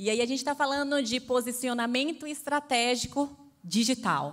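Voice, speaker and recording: In a Bahian accent, a woman speaks at a fairly slow pace. Her pitch is high, with ordinary variation. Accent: Bahian Brazilian Portuguese. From Bahia, Brazil. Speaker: panel moderator. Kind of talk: panel discussion.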